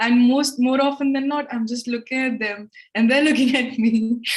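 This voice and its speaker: A woman with a high voice speaks at a moderate pace amid noticeable background noise. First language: Hindi or another Indian language. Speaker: English tutor, live show host. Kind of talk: live-stream English lesson chat. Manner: conversational, casual.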